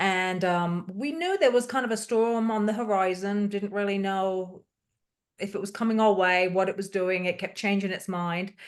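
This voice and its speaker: A woman talks with fairly even intonation against a quiet background. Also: medium pitch for a woman, moderate pace. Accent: British. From UK. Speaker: hurricane survivor. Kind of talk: testimony.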